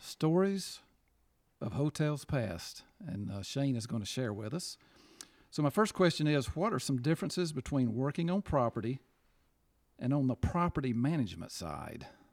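A man's fairly high voice with very wide pitch swings and long, frequent pauses, in a dry, close sound with no echo and a very clean recording over a silent background. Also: moderate pace. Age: 50s. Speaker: podcast co-host. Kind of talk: casual chat.

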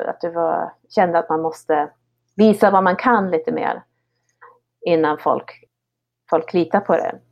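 Talking at a fairly slow pace, a woman uses a fairly low pitch with ordinary pitch variation. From Sweden, Höga Kusten (Härnösand). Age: 30s. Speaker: ski guide. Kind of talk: interview conversation. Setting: online call. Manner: halting, with repeated words. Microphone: poor online audio.

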